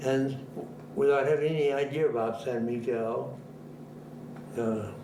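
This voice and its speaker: At a fairly slow pace, a man with an American accent talks at medium pitch with fairly even intonation, amid audible room echo and noticeable background noise. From Boston, US New England. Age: 90s. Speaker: retired minister. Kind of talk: interview, life story. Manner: halting, with repetitions.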